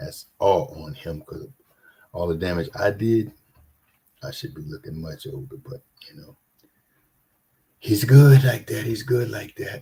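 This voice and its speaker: Fairly slow with long, frequent pauses, a man speaks in a dark, mellow tone with vocal fry, big swings in loudness and very wide pitch swings. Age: 60s. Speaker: scripture reading host. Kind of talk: casual chat; reading aloud.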